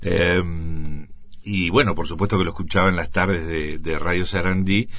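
In a room with audible echo, a man with a very deep, low pitch talks at a fairly slow pace with ordinary pitch variation. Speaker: radio broadcaster. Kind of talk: testimony. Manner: halting.

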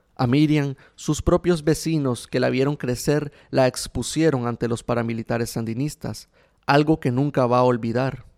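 An unremarkable speaking voice from a man at medium pitch, with fairly even intonation and a moderate pace, in a very clean recording with a silent background and a dry, close sound with no echo. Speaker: radio host and journalist. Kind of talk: scripted narration. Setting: radio studio.

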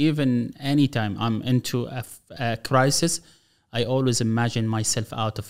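With an Arabic accent, a man speaks at medium pitch and with fairly even intonation in a very clean recording with a silent background. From Gaza, Palestine. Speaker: government official and speaker. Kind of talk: interview.

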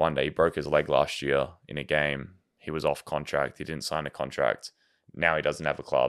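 A man speaks with an Australian accent at a moderate pace, his pitch very deep and low. The intonation stays monotone and flat, with vocal fry throughout. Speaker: professional soccer goalkeeper. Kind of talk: casual chat.

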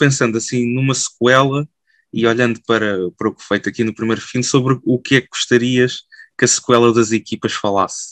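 A man talks at a moderate pace in a medium pitch. His intonation is monotone and flat, and the sound is dry and close with no echo. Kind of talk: podcast interview. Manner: halting, frequent fillers.

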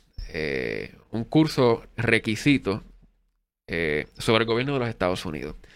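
A man at medium pitch, very slow, with long, frequent pauses, vocal fry, very wide pitch swings and big swings in loudness, on a very clean recording with a silent background. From Puerto Rico, Adjuntas (central mountains). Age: 30s. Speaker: political candidate and university professor. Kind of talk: interview.

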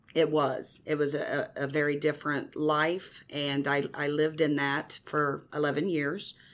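A woman with a Midwestern American accent and a very deep, low pitch, fairly slow and flat in a monotone, hardly any pauses, on a very clean recording with a silent background. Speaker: evangelist. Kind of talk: testimony. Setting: radio studio.

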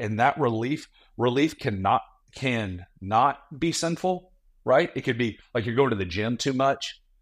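Over a silent background in a very clean recording, a man talks at a fairly slow pace with lively intonation. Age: 40s. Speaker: pastor and ministry leader. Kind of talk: casual chat. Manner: animated.

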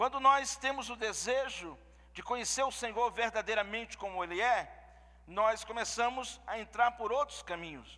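Raised and projected, a man's voice runs extremely high in pitch, bright and sharp in tone, with ordinary pitch variation at a moderate pace. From Pernambuco, Brazil. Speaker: visiting pastor. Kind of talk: sermon. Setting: church service with congregation.

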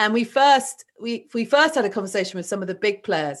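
A woman talks at a fairly quick pace. Her intonation is lively, and the background is quiet. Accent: southern English. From southern England. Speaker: renewable energy entrepreneur. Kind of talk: interview conversation.

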